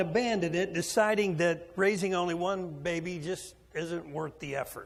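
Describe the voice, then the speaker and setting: A man's high voice at a fairly slow pace, with ordinary pitch variation and audible room echo. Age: 60s. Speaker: preacher. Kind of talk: sermon.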